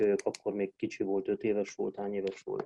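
The man's voice sits at a fairly low pitch, with a dark, mellow tone. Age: 40s. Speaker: Romanian language teacher. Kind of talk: casual interview.

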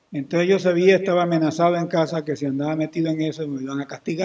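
A man speaks at a very fast pace with a dark, mellow tone. His intonation stays monotone and flat. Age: 60s. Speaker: historian and genealogist. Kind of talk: interview.

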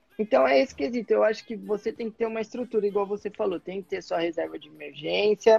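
With music in the background, a man talks at a very fast pace with hardly any pauses, his high voice showing ordinary pitch variation and big swings in loudness. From Brazil, São Caetano do Sul (São Paulo area). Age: 20s. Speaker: former bank worker living abroad, investor. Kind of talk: casual chat. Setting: Instagram live video call.

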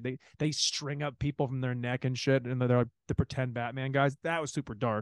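A man talks at a moderate pace in an unremarkable speaking voice. His pitch sits in the medium range and varies normally. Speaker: podcast host. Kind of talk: casual chat. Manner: casual, rambling, profane.

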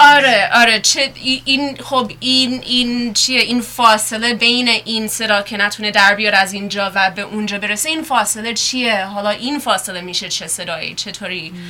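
Against noticeable background noise, a woman talks at a fairly high pitch with ordinary pitch variation and hardly any pauses. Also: moderate pace. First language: English (speaking Persian). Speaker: sound artist and photography lecturer. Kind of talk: radio interview. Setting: studio. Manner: halting, with many fillers.

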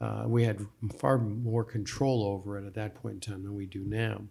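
On a very clean recording with a silent background, a man with an American accent speaks at a moderate pace and fairly low pitch, somewhat breathy. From New Jersey. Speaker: mayor. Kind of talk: interview. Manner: halting.

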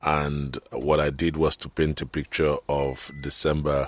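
A man speaks with a very deep, low pitch and monotone, flat intonation. The sound is dry and close, with no echo. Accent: Nigerian. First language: Nigerian language. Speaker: radio talk show host. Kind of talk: motivational radio talk. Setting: radio studio.

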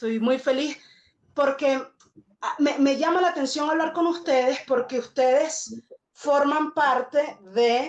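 A woman with a Venezuelan accent, very slow, with ordinary pitch variation. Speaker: podcast host and musician. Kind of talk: spoken intro; casual chat.

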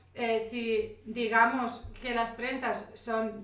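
A woman with a fairly high pitch is heard amid noticeable background noise and audible room echo. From Spain. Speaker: podcast co-host. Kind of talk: casual chat. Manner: loud.

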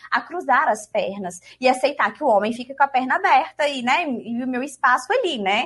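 A woman speaks in a high voice with lively, bouncing intonation. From Minas Gerais, Brazil. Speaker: law lecturer. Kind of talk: casual chat.

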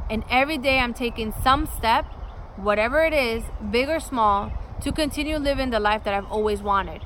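A woman speaks at a fairly quick pace and a fairly high pitch with ordinary pitch variation. Audible room echo surrounds her voice. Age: 30s. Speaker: podcast host and lifestyle vlogger. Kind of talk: scripted introduction monologue.

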